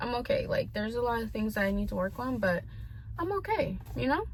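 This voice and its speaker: Noticeable noise fills the background. Over it, a woman talks with an American accent. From US South (Tennessee), earlier California. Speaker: vlogger. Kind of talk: personal vent vlog. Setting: talking to camera. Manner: hesitant, filler-heavy.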